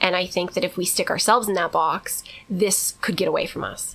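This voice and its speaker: The voice is loud, with a bright, sharp tone. Its intonation is fairly even. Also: woman. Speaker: podcast co-host. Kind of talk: casual chat. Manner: fast.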